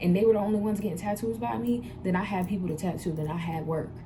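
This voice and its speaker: Talking at a very fast pace with very wide pitch swings, a woman is heard over noticeable background noise and audible room echo. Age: 20s. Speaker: vlogger and tattoo artist. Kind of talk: casual vlog Q&A advice. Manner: animated.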